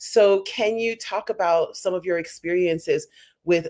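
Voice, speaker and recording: Speaking at a fairly slow pace with an American accent, a woman has a plain, everyday voice at medium pitch. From United States. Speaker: panel host. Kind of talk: panel discussion.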